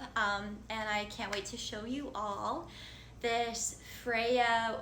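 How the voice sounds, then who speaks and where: With audible room echo, a woman speaks at a fairly high pitch in a monotone, flat intonation. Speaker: spiritual content creator. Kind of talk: casual vlog monologue. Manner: stumbling over words.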